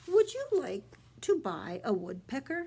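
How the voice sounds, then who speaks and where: A woman puts on a character voice, high-pitched with very wide pitch swings, delivered at a fairly slow pace. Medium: read story.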